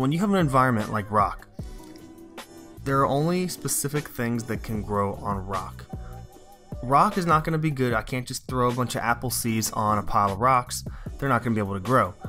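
A man talking at a fairly quick pace, with music in the background. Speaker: science teacher. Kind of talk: lecture.

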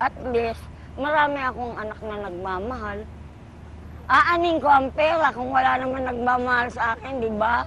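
A woman's high-pitched voice at a moderate pace, with ordinary pitch variation and big swings in loudness. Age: 60s. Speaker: street vendor. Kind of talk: elderly street vendor's warm interview testimony about her life and wishes. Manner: rambling, homely, with filler words and asides; cheerful, laughing.

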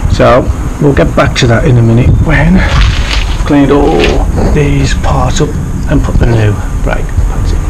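This man talks at a fairly slow pace, leaving long, frequent pauses. Loud background noise runs underneath. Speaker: amateur motorcycle mechanic. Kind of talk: casual DIY tutorial talk to camera. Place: street. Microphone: phone near.

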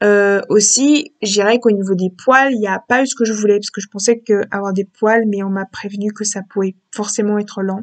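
The speaker moves at a fairly quick pace with few pauses and fairly even intonation.

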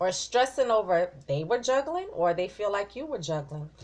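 At a moderate pace, a woman talks. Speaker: tarot reader. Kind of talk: tarot reading commentary. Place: home room.

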